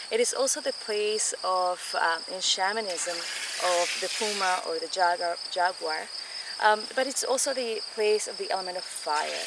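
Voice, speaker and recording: Against loud background noise, a woman speaks at a fairly slow pace with ordinary pitch variation and a dry sound with no echo. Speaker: guide. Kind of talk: guided tour talk. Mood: calm, warm, reflective. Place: garden. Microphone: camera far.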